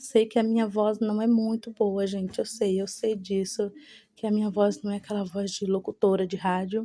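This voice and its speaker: In a monotone, flat delivery, a woman speaks at a medium pitch and moderate pace with a dark, mellow tone. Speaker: home vlogger. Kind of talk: voice-over narration. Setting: cleaning at home. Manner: breathless, sounds like chewing.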